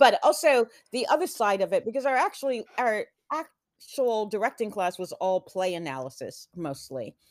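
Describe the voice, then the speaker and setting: In an American accent, a woman talks at a moderate pace with a fairly high pitch, very wide pitch swings and vocal fry. The sound is dry and close with no echo, on a very clean recording with a silent background. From Texas (Houston), earlier Atlanta. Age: 50s. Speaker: theater director. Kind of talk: interview.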